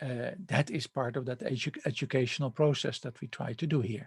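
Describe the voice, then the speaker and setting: Somewhat breathy, a man speaks at a moderate pace with ordinary pitch variation, the sound dry and close with no echo. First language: not English. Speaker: university lecturer. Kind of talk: lecture. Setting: recorded online lecture with slides. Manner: hesitant, many fillers and restarts.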